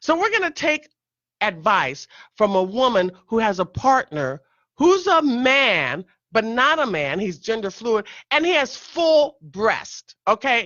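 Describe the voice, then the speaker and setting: An animated tone with very wide pitch swings, at a fairly slow pace. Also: woman, fairly high pitch for a woman. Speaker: radio talk show host. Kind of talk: talk radio monologue.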